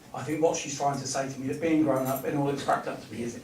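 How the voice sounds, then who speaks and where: In an English accent, a medium-pitched man talks at a fairly quick pace with monotone, flat intonation, amid noticeable background noise and audible room echo. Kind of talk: clairvoyance demonstration. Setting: village hall with audience. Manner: fast.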